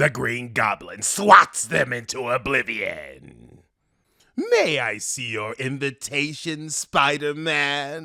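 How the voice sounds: On a very clean recording with a silent background, a man puts on a raspy character voice, speaking very slowly at a fairly high pitch with ordinary pitch variation and big swings in loudness.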